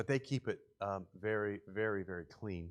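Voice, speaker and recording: On a very clean recording with a silent background, a man speaks with a West Virginia accent. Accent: West Virginia English, speaks it a weird way. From West Virginia, Morgantown area. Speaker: charity presenter. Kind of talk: church presentation with slides. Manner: casual, filler-heavy speech.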